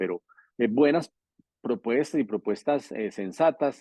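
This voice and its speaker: Very wide pitch swings from a man speaking at a fairly quick pace. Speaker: politician. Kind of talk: interview. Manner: fast; natural, informal.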